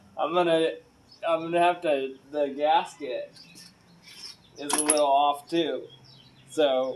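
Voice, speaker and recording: Very slow, flat, monotone speech from a man, with noticeable background noise. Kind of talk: casual vlog chat. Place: garage.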